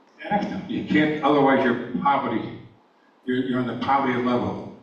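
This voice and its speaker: With an American accent, a man speaks with ordinary pitch variation amid audible room echo and noticeable background noise. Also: medium pitch for a man, fairly quick pace. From New York. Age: 80s+. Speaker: public forum speaker, retired EMT. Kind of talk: public comment at a town meeting. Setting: school auditorium with audience. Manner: halting.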